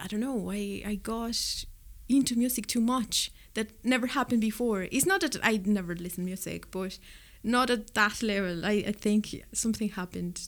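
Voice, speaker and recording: A woman speaks at a moderate pace with ordinary pitch variation. Her pitch is fairly high. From Mexico City. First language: Spanish. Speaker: record store owner. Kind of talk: casual interview.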